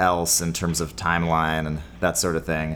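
This man speaks with a Californian accent. His pace is moderate. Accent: general American (Californian). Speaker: podcast co-host. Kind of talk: casual comedic chat.

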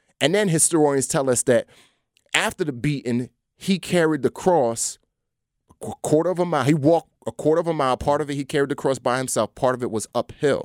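Speaking fairly quickly with an American accent, a man has a plain, everyday voice, and the sound is dry and close with no echo. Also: fairly high pitch for a man, ordinary pitch variation, very clean recording, silent background. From New York City (Bronx). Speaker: actor and former Navy SEAL, speaker. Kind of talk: casual interview. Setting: studio.

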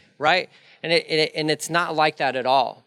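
A man speaks in an unremarkable speaking voice, fairly high in pitch with fairly even intonation. The recording is very clean, with a silent background. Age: 40s. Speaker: pastor. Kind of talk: sermon. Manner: conversational with fillers and restarts.

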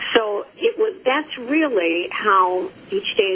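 A woman's high pitch with very wide swings at a very slow pace, amid noticeable background noise. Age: 70s. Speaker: author and recovery workshop facilitator. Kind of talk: interview.

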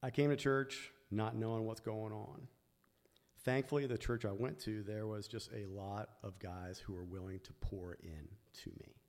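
A man with a plain, everyday voice speaks at a moderate pace in a fairly low pitch, with ordinary pitch variation and big swings in loudness. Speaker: church ministry leader. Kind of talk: testimony. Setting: church.

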